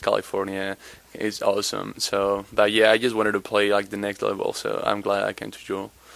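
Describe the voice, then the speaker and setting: A man speaks with a Spanish accent. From Spain, Madrid area. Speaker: college basketball player. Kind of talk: interview. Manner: halting.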